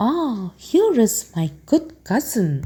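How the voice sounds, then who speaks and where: A woman puts on a character voice that is hoarse and fairly high. Her pitch swings very widely. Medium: read story. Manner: pleasant, sly.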